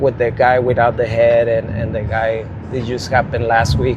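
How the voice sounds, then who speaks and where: A man with a Spanish accent over noticeable background noise. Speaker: rideshare driver and storyteller. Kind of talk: casual storytelling monologue. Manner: slow; halting.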